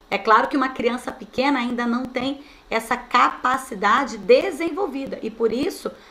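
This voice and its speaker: A woman's animated, bright, sharp voice at a high pitch and moderate pace, with ordinary pitch variation and audible room echo. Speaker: teacher trainer. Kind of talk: online training lecture.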